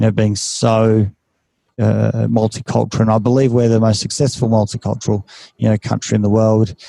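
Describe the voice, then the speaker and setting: The man's fairly low voice has a dark, mellow tone and monotone, flat intonation. He moves at a fairly quick pace, the sound dry and close with no echo. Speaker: clinical psychologist, podcast host. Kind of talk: casual interview chat. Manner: halting, many fillers and repetitions.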